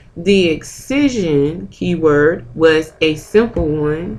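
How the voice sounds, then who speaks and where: A woman speaks at a very deep, low pitch with audible room echo. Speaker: medical coding instructor. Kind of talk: lecture.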